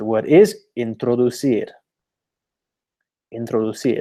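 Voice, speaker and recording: With a British accent, a man talks in a dark, mellow tone at medium pitch. His pitch varies in an ordinary way. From UK. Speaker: language learning teacher. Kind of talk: webinar presentation. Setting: online webinar.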